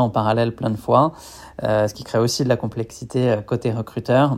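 Speaking at a moderate pace, a man with a medium-pitched, dark, mellow tone keeps his intonation fairly even. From western France. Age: 30s. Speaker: company founder. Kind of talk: interview. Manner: hesitant, many fillers.

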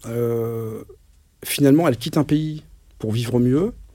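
Speaking fairly slowly, a man with a medium-pitched voice and a dark, mellow tone shows ordinary pitch variation. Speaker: mentor. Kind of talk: interview testimony. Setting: in-person recording in Cambrai. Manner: halting, many fillers and repetitions.

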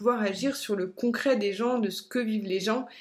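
A woman speaks at a moderate pace in a fairly high pitch. Her intonation is monotone and flat. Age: 30s. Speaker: life coach. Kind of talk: personal storytelling monologue. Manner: hesitant, many fillers.

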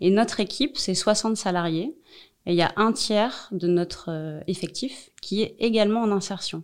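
In a very clean recording with a silent background, a woman with a plain, everyday voice talks fairly slowly at a medium pitch with ordinary pitch variation. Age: 40s. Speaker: social enterprise director. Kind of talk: interview.

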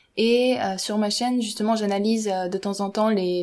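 The pace is moderate, with fairly even intonation. It is a plain, everyday voice. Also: woman. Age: 20s. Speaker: engineering student and YouTuber. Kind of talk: casual chat.

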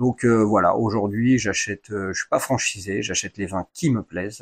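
Over a quiet background, a man with a normal speaking voice talks at a moderate pace in a fairly low pitch. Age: 40s. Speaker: wine shop owner, former firefighter. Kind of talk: interview.

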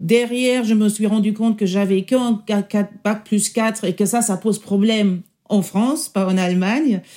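In a German accent, a woman speaks at a fairly high pitch with a dark, mellow tone, fairly even intonation, very even loudness and a fairly slow pace, on a very clean recording with a silent background. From Germany. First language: German (speaking French). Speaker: senior public sector executive. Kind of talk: interview testimony. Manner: halting.

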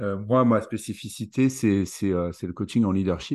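A man talks at a very slow pace and a fairly low pitch, with ordinary pitch variation. The background is quiet. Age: 40s. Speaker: leadership coach. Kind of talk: interview.

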